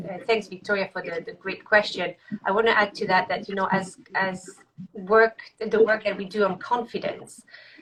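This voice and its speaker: A woman with a French accent speaks at a medium pitch. Her pace is moderate and her intonation is fairly even. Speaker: executive coach. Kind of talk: live video interview. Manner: halting.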